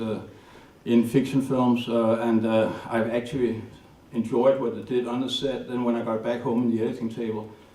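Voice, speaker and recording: Speaking at a fairly quick pace in a Danish accent, a man keeps a medium pitch and monotone, flat intonation amid audible room echo. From Denmark, north of Copenhagen. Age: 60s. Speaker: documentary filmmaker. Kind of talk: lecture. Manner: halting.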